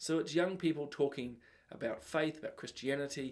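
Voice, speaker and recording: A speaker with a New Zealand accent. The pitch rises and falls in an ordinary way. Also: man. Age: middle-aged. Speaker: talk show host. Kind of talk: live show commentary. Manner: casual, with many fillers.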